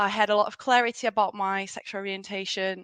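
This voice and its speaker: A woman talks at medium pitch and a moderate pace, her tone bright and sharp. The sound is dry and close with no echo, over a quiet background. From Brazil. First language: Portuguese. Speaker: diversity consultant. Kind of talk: podcast interview. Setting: remote call.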